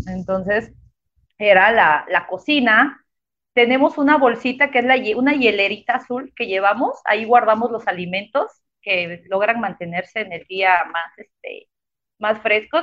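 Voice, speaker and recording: A woman talks in a normal speaking voice, fairly high in pitch, at a fairly slow pace. Her intonation is lively. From Mexico, Chiapas (Tuxtla Gutiérrez). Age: 30s. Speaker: architect and cycling traveler. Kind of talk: interview. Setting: live online broadcast.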